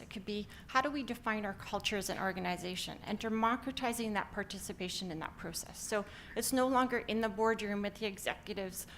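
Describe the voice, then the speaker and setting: Fairly quick speech in a Canadian accent with hardly any pauses and fairly even intonation comes through over noticeable background noise. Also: woman. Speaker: company founder and CEO. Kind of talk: conference talk. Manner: frequent filler words (um).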